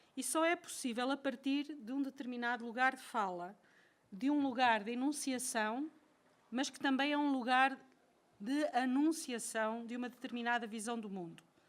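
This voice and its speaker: A woman speaks with a European Portuguese accent. Her pitch is high, with ordinary pitch variation. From Portugal. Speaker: professor. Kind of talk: lecture. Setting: lecture hall with audience. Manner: slow; reading from a text.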